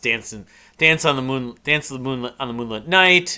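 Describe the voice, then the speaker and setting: Against a quiet background, a man with a bright, sharp tone speaks at medium pitch and a fairly quick pace, with ordinary pitch variation. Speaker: music reviewer. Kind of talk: casual review monologue. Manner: fast; halting. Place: home room.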